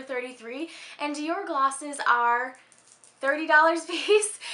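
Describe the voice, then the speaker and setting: A woman speaks with an American accent in a raised, projected voice. Her tone is upbeat, her pitch high and her intonation lively. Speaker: beauty and lifestyle vlogger. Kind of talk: casual talk to camera. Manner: upbeat, chatty. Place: home room.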